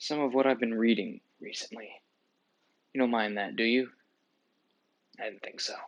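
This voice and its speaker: A soft-spoken man at medium pitch talks at a moderate pace, leaving long, frequent pauses. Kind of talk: ASMR soft-spoken book show-and-tell.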